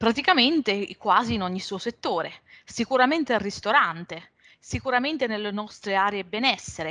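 A woman's bright, sharp tone with lively intonation at a moderate pace, against a quiet background. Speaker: revenue management consultant; webinar presenter. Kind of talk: webinar presentation. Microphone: video call.

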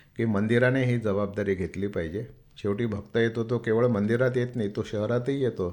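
On a very clean recording with a silent background, a man with a medium pitch speaks in a normal speaking voice with fairly even intonation. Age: 60s. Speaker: temple trust chairman and builder. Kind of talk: radio interview.

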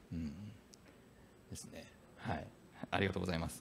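The voice belongs to a man. Its pitch moves in a normal way. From Fukuoka, Japan; Japan. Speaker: panel moderator, business executive; panel moderator. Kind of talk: panel discussion at a conference. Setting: stage with audience. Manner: formal, polite. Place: hall. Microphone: handheld.

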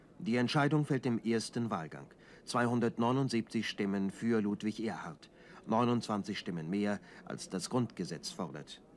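In a solemn tone, a man speaks very slowly at a medium pitch with lively intonation. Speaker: newsreel narrator. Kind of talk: 1960s German newsreel narration, formal and scripted. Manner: brisk, authoritative, clipped and measured delivery; solemn, declamatory, dry and objective tone.

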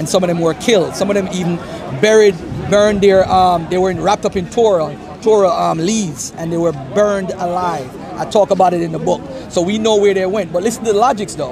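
A man with an American accent, high-pitched and very fast, with fairly even intonation, a dry sound with no echo, and noticeable background noise. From US, New York. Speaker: author; author debating religion. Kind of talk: street debate. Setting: outdoors. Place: garden. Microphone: phone near.

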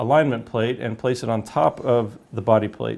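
A man's fairly even intonation at a moderate pace. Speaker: product demonstrator. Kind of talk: tutorial. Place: home room.

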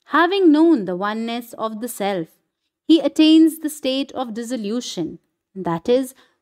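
Her pitch high with very wide swings, a woman speaks at a moderate pace in a dry, close sound with no echo and a very clean recording with a silent background. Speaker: spiritual reader / satsang speaker. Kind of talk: reading aloud a scripture commentary (Ashtavakra Gita) in Hindi with English lines. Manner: formal, measured, devotional reading.

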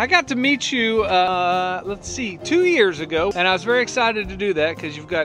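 Over clear background music, a man talks at a moderate pace in a dry sound with no echo. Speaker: fishing show host. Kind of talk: interview questions. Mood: friendly, upbeat. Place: boat.

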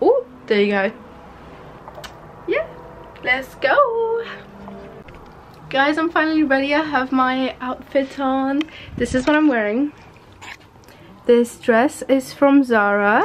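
Very slow, lively intonation, long and frequent pauses, and light background noise. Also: woman, high pitch for a woman. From Hungary. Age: young. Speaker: beauty and fashion vlogger. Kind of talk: casual talk to camera. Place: home room. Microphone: phone near.

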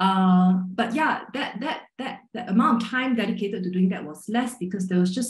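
A somewhat breathy woman's voice with audible room echo against a quiet background. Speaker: magazine writer and editor; journalist panelist. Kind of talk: panel discussion. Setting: video call. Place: home room. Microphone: video call.

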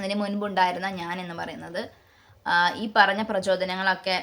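With flat, monotone intonation, a woman talks in a medium-pitched voice. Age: 30s. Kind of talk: religious talk.

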